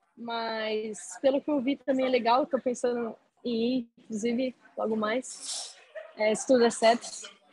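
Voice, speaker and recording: At a fairly slow pace, a woman speaks with fairly high pitch and fairly even intonation. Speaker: university student. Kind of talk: interview. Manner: halting, many fillers.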